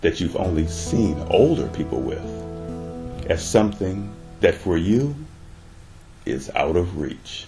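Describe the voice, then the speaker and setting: Very deep, low-pitched man's voice with lively intonation, music in the background. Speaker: audio series narrator. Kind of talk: sleep story / ASMR-style audio story narration.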